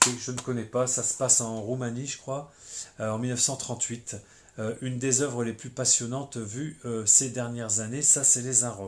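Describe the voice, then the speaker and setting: A man's medium-pitched voice at a moderate pace with monotone, flat intonation. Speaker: film collector video blogger. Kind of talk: casual chat. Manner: hesitant, many fillers.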